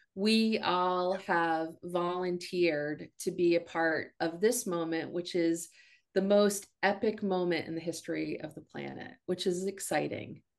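A woman's plain, everyday voice at a fairly low pitch, fairly slow and with fairly even intonation, over a quiet background. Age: 50s. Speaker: spiritual consultant and medium. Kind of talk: interview.

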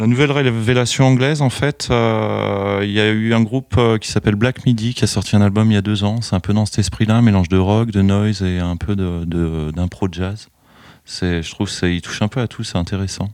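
This man has an unremarkable speaking voice, pitched fairly low. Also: ordinary pitch variation, moderate pace. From France, Chalon-sur-Saône (Burgundy). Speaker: record shop owner. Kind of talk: interview. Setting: record shop.

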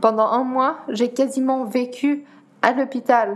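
Noticeable background noise surrounds a woman with a Dutch accent. She talks very slowly at a high pitch in a monotone, flat intonation. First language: Dutch (speaking French). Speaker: para-athlete. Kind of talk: interview. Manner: halting.

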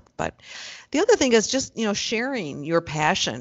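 Here a woman speaks with an American accent at a moderate pace. Her voice has vocal fry and very wide pitch swings. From US Midwest, Chicago suburbs (Skokie). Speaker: forester. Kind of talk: interview conversation.

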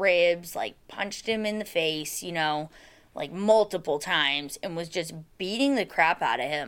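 A woman with an Alaskan accent speaks at a fairly slow pace and a fairly low pitch, in a very clean recording with a silent background. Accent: Alaskan American. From Alaska, Soldotna. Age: 20s. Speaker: person in addiction recovery. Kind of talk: testimony. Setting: office.

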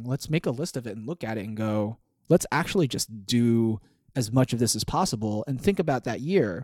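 Dry and close with no echo, a man with a plain, everyday voice talks at a fairly quick pace and medium pitch, using lively intonation. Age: 20s. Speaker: podcast co-host. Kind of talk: casual chat.

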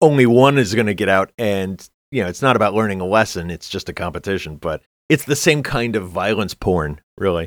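A man's fairly low, lively-toned voice at a fairly quick pace, a normal speaking voice. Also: very clean recording, silent background. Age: 50s. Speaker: podcast co-host. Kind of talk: casual chat.

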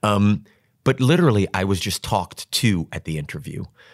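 In an American accent, a man with a normal speaking voice and fairly low pitch talks at a moderate pace with lively intonation, recorded dry and close with no echo on a very clean recording with a silent background. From New York. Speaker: stage actor. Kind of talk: casual chat.

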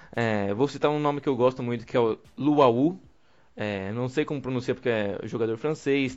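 A man talks in an unremarkable speaking voice at medium pitch. His pace is moderate, with ordinary pitch variation. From Brazil. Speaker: podcast host. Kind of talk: casual chat.

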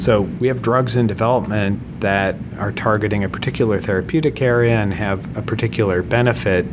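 At a fairly quick pace with hardly any pauses, a man with a fairly low voice talks amid audible room echo and noticeable background noise. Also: ordinary pitch variation. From US Midwest, Minnesota. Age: 50s. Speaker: medical device technology leader. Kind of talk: interview.

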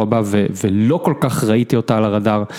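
Noticeable background noise sits behind this man. He speaks at a moderate pace with a fairly low pitch. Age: 30s. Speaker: tennis blogger. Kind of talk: casual chat.

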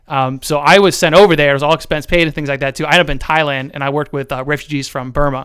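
With an American accent, a man talks at a very fast pace in a fairly high pitch. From central Ohio. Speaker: marketing business owner. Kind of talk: casual interview.

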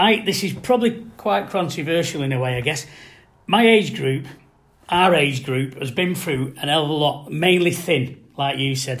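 The intonation here is lively. It is an ordinary speaking voice. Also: man. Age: 50s. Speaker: football supporter panelist. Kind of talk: casual chat.

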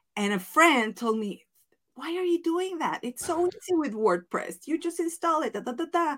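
A woman with a Mexican accent speaks at an extremely high pitch and a moderate pace, with very wide pitch swings. The recording is very clean, with a silent background. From Mexico. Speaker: business coach and former wedding planner. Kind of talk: interview podcast.

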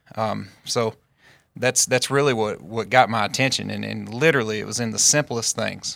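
A medium-pitched man's voice in a very clean recording with a silent background. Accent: Southern US. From Northeast Arkansas. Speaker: farmer and agtech co-founder. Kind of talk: podcast interview.

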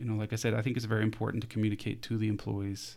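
Very fast, monotone, flat speech from a man at medium pitch. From Denmark, near Copenhagen. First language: Danish. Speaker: HR consultant. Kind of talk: casual interview.

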